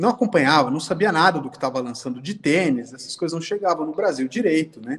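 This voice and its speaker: A man with a plain, everyday voice speaks at a fairly quick pace, his fairly high pitch carried by lively intonation and big swings in loudness. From Brazil. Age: 30s. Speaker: sneaker collector and designer. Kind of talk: casual chat. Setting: video call.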